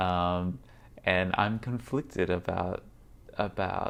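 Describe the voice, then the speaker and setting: A man speaks at a very slow pace with an American accent. His voice is very deep and low. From Australia. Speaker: VR podcaster and vlogger. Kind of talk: vlog monologue. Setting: on location at a tech conference. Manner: halting, many fillers.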